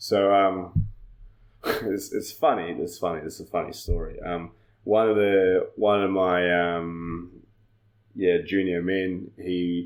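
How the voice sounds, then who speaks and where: A man speaks with a New Zealand accent at a fairly slow pace. His pitch is very deep and low. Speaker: judo coach. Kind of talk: casual chat.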